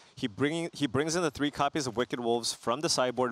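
The sound is close and dry, without any echo. A man talks with ordinary pitch variation. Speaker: esports commentator. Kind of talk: live esports commentary, analysis. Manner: analytical, conversational, explaining strategy.

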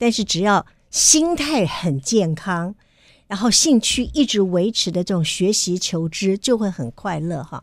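The voice moves through very wide pitch swings at a fairly slow pace, the sound dry with no echo and the background quiet. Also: woman, medium pitch for a woman. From Taiwan. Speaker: radio host. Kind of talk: interview. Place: studio. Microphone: studio mic.

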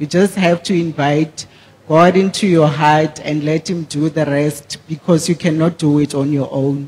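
A man with a fairly high pitch talks at a fairly slow pace and with fairly even intonation, his tone slightly mellow with a slightly husky edge.

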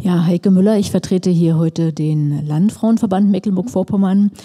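Her voice is fairly low in pitch, with a dark, mellow tone. The woman talks at a moderate pace with ordinary pitch variation.

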